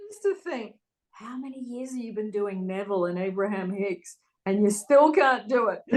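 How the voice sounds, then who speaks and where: A woman with an Australian accent, a fairly high pitch, ordinary pitch variation, a moderate pace and big swings in loudness. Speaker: spiritual coach, manifestation channel host. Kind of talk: casual chat.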